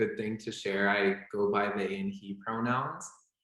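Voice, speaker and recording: A man with an American accent and an ordinary speaking voice talks at a fairly slow pace. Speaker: medical student. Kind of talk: panel talk.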